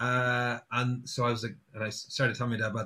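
A man with an Irish accent and a bright, sharp tone, at a moderate pace. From Ireland, Sligo. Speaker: singer-songwriter. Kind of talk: casual chat. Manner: halting.

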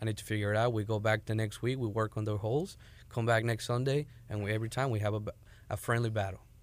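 At a very fast pace, a man of medium pitch speaks in a monotone, flat intonation with very even loudness, in a very clean recording with a silent background. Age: 20s. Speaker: MMA coach. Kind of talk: interview.

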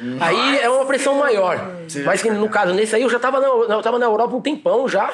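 Over noticeable background noise, a man talks at a fairly quick pace with an extremely high pitch. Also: ordinary pitch variation. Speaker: breakdancer. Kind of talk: casual chat.

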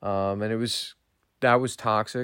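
Speaking with an American accent, a man keeps a fairly low pitch and fairly even intonation at a fairly slow pace. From Berks County, Pennsylvania, US. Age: 20s. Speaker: recovering alcoholic sharing his story. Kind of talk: personal testimony. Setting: self-recorded remotely and sent in.

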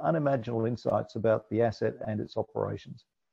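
A man speaks at a fairly quick pace. Vocal fry runs through his voice. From Scotland. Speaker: business executive. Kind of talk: interview.

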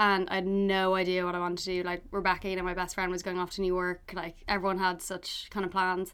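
A woman with a Dublin accent talks at a very fast pace with hardly any pauses, in a medium pitch and a monotone, flat intonation. The recording is very clean, with a silent background. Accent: Irish (Dublin). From Ireland, Dublin. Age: 20s. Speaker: food writer and cookbook author. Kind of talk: casual chat.

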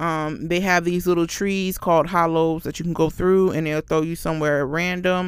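With an American accent, a woman speaks fairly quickly at a fairly low pitch in an animated tone, on a very clean recording with a silent background. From Florida. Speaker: podcast host. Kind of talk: casual solo chat.

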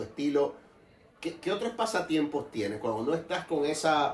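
A man talks while noticeable noise is heard behind him. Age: 40s. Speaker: podcast host. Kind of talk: casual interview. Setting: wine store.

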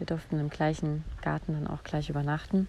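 A woman's very deep, low voice, dark and mellow in tone, monotone and flat at a moderate pace. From Saarland, Germany. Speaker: podcast host and voice coach. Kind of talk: solo podcast monologue. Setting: outdoors in a garden.

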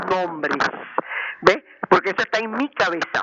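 A woman with a medium pitch talks at a moderate pace while noticeable background noise plays behind her. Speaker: elderly caller. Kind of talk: call-in comment.

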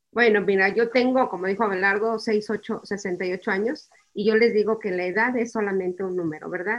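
An unremarkable speaking voice, a woman's at medium pitch, moves at a moderate pace with hardly any pauses and fairly even intonation. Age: 60s. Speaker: bereaved mother. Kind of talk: testimony.

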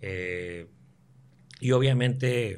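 Ordinary pitch variation amid audible room echo. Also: man. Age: 30s. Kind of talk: casual chat.

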